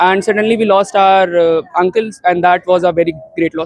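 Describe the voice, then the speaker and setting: In a dry, close sound with no echo, a man's pitch moves with ordinary variation. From Delhi, India. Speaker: local resident. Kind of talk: interview.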